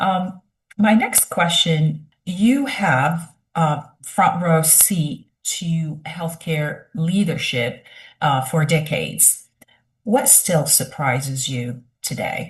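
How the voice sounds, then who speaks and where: Somewhat breathy and fairly low in pitch, a woman speaks at a very slow pace with lively intonation. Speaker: podcast host, academic. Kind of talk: interview.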